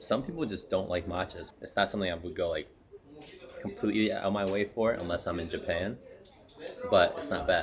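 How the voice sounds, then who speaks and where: Talking at a fairly quick pace, a man has a fairly low voice. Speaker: travel vlogger. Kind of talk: casual vlog narration. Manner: speaking quietly.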